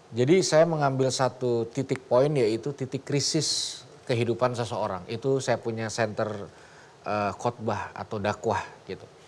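A man at a fairly slow pace, with ordinary pitch variation over light background noise. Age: young. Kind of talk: talk show conversation. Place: studio.

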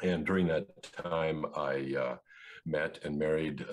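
A man with a Canadian accent speaks at a very deep, low pitch with fairly even intonation against a quiet background. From central Canada. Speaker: engineer and philosopher; interview guest. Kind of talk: interview. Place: home room. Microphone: video call.

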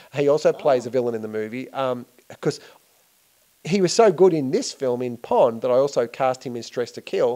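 A man's dark, mellow voice at medium pitch with ordinary pitch variation, a fairly quick pace broken by long, frequent pauses, and a quiet background. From Australia, Melbourne. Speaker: filmmaker. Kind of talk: interview. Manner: hesitant, many fillers. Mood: relaxed, friendly. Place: home room. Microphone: handheld.

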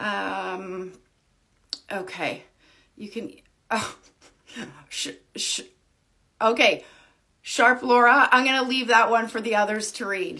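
A woman speaks very slowly, with long, frequent pauses and vocal fry in a bright, sharp tone. Her loudness swings a lot over a quiet background. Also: fairly high pitch for a woman, ordinary pitch variation. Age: 40s. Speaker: wig reviewer and social media creator. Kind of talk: livestream chat with viewers. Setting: live video stream. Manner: casual, many filler ums. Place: home room. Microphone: phone near.

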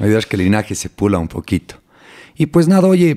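Very fast and in a dark, mellow tone, a man's voice comes through on a very clean recording with a silent background. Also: dry, close sound with no echo. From Ecuador, Cuenca. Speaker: neuroscientist. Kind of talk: interview.

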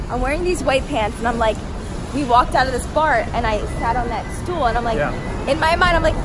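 Noticeable background noise runs under the voice. A woman talks at a fairly quick pace. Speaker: vlogger. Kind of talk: casual vlog chat. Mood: playful, laughing. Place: street. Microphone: phone near.

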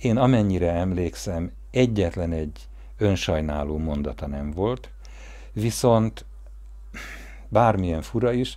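Against a quiet background, a man speaks at a very slow pace with a very deep, low pitch. His tone is dark and mellow, with very wide pitch swings. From Hungary. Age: 50s. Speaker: family storyteller narrating a documentary. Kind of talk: personal memoir narration; interview answer. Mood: warm, reminiscing. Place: garden.

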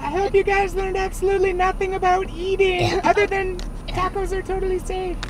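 An extremely high-pitched cartoonish character voice is heard over loud background noise. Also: fairly quick pace. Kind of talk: comedic kids show banter. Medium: puppet.

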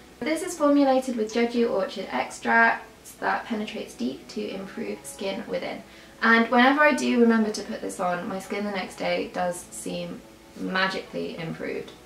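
A woman at a moderate pace, with audible room echo and faint music in the background. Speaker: beauty vlogger. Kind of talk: casual vlog chat. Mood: relaxed, light-hearted. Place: home room.

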